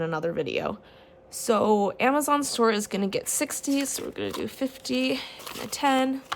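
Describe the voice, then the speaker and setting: A woman's voice with lively intonation. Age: 30s. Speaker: budgeting vlogger. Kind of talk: casual tutorial vlog. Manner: animated; varied tones and voices.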